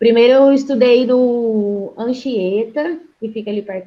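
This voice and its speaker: In a plain, everyday voice, a woman speaks at a moderate pace and a fairly high pitch with ordinary pitch variation. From Brazil, Londrina (Paraná). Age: 20s. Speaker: physiotherapist. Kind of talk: interview.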